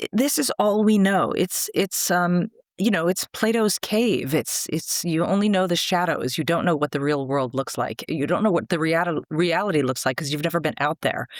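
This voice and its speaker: In a dry, close recording with no echo, a woman speaks in a fairly low voice with lively intonation, a normal speaking voice. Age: 60s. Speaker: screenwriting mentor. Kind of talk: interview conversation.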